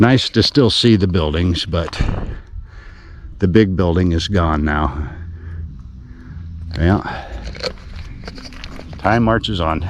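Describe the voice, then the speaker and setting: Amid noticeable background noise and audible room echo, a man with an American accent and a very deep, low pitch talks in a relaxed tone at a very slow pace, with ordinary pitch variation and long, frequent pauses. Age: 60s. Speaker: travel vlogger. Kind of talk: casual travel vlog narration. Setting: outdoors. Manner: relaxed, with many fillers.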